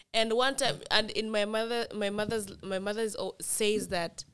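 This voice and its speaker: In a very clean recording with a silent background, a woman with a normal speaking voice speaks at a fairly high pitch and a moderate pace. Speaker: international student. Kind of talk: casual chat. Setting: studio.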